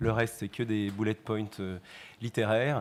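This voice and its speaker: This is a man speaking. His pitch is medium. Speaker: bank risk manager. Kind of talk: conference presentation. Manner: fast.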